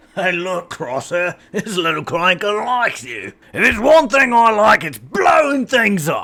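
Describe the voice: This man uses a put-on character voice, raised and projected, with high pitch for a man. He barely pauses at all. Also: moderate pace.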